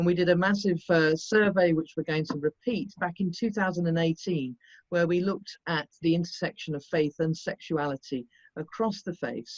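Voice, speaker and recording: A normal speaking voice at a moderate pace, ordinary pitch variation, dry, close sound with no echo. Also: woman, fairly low pitch for a woman. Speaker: director of a religious advocacy foundation. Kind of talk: panel statement. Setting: online panel.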